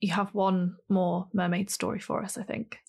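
A somewhat breathy voice in monotone, flat intonation comes through a very clean recording with a silent background. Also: woman. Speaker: podcast co-host. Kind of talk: casual chat.

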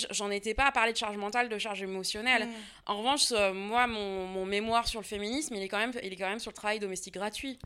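Recorded very cleanly over a silent background, a woman of medium pitch speaks in a bright, sharp tone with fairly even intonation. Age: 30s. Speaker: history and geography teacher, author. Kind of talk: interview conversation. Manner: casual, hesitant with fillers.

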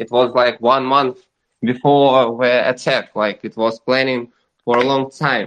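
In a Russian accent, a man with a medium-pitched voice talks at a fairly slow pace in a monotone, flat way. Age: 20s. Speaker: caller from Russia. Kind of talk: live audio room discussion. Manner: halting.

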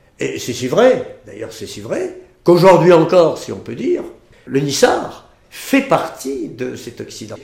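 A man's fairly slow speech with big swings in loudness and audible room echo. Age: 70s. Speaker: history society head. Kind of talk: interview. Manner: halting.

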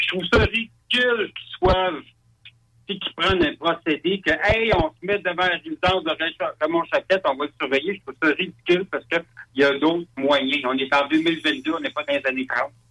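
Lively in intonation, a man speaks at a high pitch and a moderate pace. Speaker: UFO witness. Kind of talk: testimony. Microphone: crackly, too loud.

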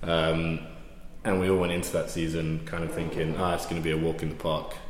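Amid noticeable background noise and audible room echo, a man with a very deep, low pitch speaks at a fairly quick pace. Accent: London. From west London, England. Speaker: amateur rugby club captain. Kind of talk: casual interview.

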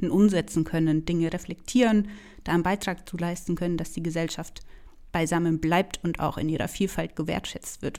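A woman with a Franconian accent, fairly low in pitch, at a fairly quick pace with ordinary pitch variation, on a very clean recording with a silent background. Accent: Franconian, rolled R. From Franconia, Germany. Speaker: podcast host, theologian, doctoral student. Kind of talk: casual chat.

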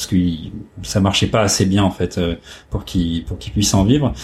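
A man speaks at a moderate pace. His fairly low voice is somewhat breathy. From northern France (Oise, Compiègne). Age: 40s. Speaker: photo lab owner. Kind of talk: interview. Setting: office. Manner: halting, many hesitations.

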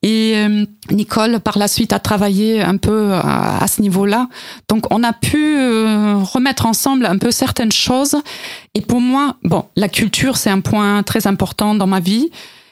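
A woman with a German accent speaks at a fairly high pitch and a fairly slow pace. Her pitch varies in an ordinary way. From East Germany. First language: German (speaking French). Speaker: cultural institute director. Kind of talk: radio interview. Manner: halting, repeating words.

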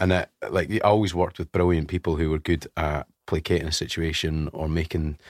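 On a very clean recording with a silent background, a man with a Scottish accent speaks at a very deep, low pitch. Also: dry, close sound with no echo. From Scotland (West Lothian). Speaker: radio presenter. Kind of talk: casual chat. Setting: studio.

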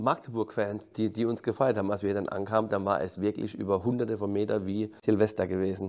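The speech runs at a fairly quick pace with hardly any pauses and monotone, flat intonation. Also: man, fairly low pitch for a man. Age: 50s. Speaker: football coach. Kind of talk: interview. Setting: stadium backstage room. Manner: halting, repeats words.

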